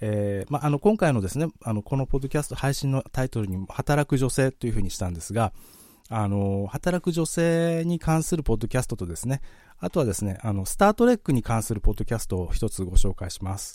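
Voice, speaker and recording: Talking at a fairly quick pace, a man uses a medium pitch with very wide pitch swings and a dark, mellow tone. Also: very clean recording, silent background. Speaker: podcast host. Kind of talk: live-streamed solo podcast talk. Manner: fast.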